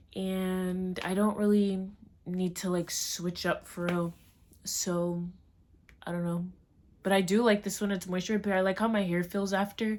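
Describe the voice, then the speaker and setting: Delivered in an American accent, the speech moves at a moderate pace in a flat monotone, with long, frequent pauses. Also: woman, medium pitch for a woman. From Maryland, US. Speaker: vlogger. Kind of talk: casual vlog. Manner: chatty, filler-heavy.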